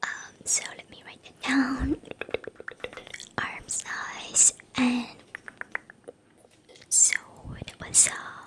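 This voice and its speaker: Whispering very slowly with long, frequent pauses, a woman shifts widely in loudness against noticeable background noise. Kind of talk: ASMR role-play, boutique tailor taking measurements. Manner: slow, gentle, soft-spoken.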